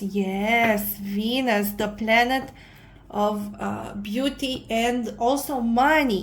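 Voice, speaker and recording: A woman with a non-native accent speaks at a fairly high pitch with fairly even intonation, and audible room echo surrounds her voice. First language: not English. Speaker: tarot reader. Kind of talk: tarot reading monologue. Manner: halting, many fillers.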